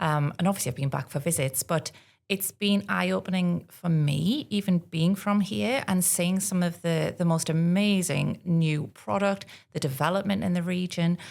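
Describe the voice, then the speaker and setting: A woman at a moderate pace with a North East England accent, a fairly low pitch and ordinary pitch variation. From North East England, Northumberland. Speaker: tourism partnerships manager. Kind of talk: podcast interview.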